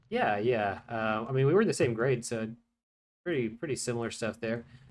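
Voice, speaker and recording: In a normal speaking voice, a man with an American accent talks at a moderate pace and medium pitch. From Texas, Houston. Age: 20s. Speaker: gaming YouTuber. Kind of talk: casual chat.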